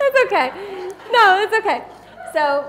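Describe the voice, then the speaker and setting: A woman talks at a very fast pace in an animated tone. Noticeable background noise sits behind her. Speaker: photographer and workshop presenter. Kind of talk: live seminar presentation with demonstration.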